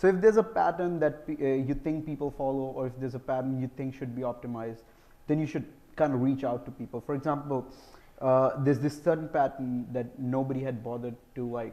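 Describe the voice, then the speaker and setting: Speaking at a fairly quick pace, a man uses a medium pitch, ordinary pitch variation and a dark, mellow tone. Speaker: software engineer, conference speaker. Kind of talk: conference Q&A. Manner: fast.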